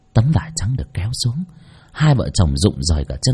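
A text read aloud in a natural voice.

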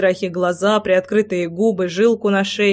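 Someone reads in a natural voice, keeping the intonation fairly even.

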